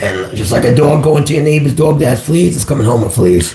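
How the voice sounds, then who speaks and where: Noticeable background noise accompanies a man speaking in a fairly high pitch. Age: 60s. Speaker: psychic medium. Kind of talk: live stream call-in chat.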